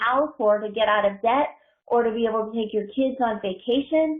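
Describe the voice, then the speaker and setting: A woman speaks in a normal speaking voice. Her pitch is fairly high. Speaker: network marketing coach. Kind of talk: online team training call.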